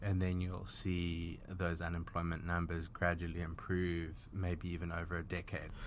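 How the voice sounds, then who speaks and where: With audible room echo, a man in a very deep, low voice speaks at a moderate pace in a monotone, flat delivery with hardly any pauses. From South Africa. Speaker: wealth management founder. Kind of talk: interview.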